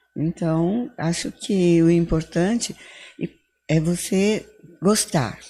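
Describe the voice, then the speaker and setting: Speaking very slowly, a woman has a dark, mellow tone and a fairly low pitch. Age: 70s. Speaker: psychologist. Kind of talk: interview.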